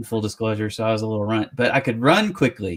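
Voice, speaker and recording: A very fast delivery with an American accent. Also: man. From US West Coast, San Francisco Bay Area. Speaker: interview show host. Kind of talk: casual interview chat.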